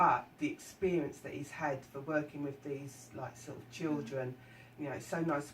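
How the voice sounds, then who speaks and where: At a fairly slow pace, a woman speaks with a very deep, low pitch and fairly even intonation. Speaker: radio presenter. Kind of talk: radio interview questions.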